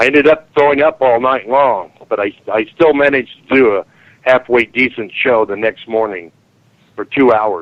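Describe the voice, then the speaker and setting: There's a man with an unremarkable speaking voice, moderate pace and ordinary pitch variation. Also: medium pitch for a man. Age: 60s. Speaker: speaker on strange phenomena. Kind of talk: interview.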